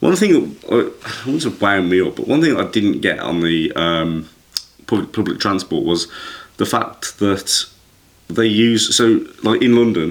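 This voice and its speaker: A man speaks with an English accent. His pace is fairly slow. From England. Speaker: podcast host. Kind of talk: casual chat.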